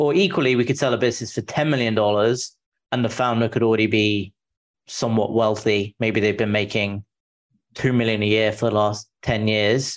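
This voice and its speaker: Man with a British accent, very even loudness, fairly even intonation and a moderate pace. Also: medium pitch for a man. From England. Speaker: founder of a business brokerage firm. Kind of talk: interview. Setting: video call.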